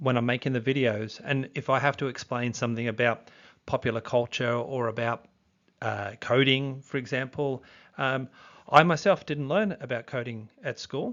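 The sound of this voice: A man's voice with a fairly bright tone, medium pitch, ordinary pitch variation and a moderate pace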